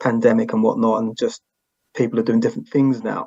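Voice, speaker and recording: This man has a British accent. He speaks at a fairly quick pace. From England. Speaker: podcast host, guest. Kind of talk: interview. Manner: halting.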